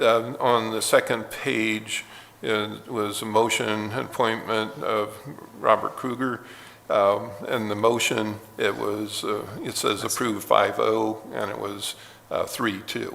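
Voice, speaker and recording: Noticeable background noise and audible room echo surround a man who speaks at a very slow pace. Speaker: board chairman. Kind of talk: public meeting. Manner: halting, many fillers.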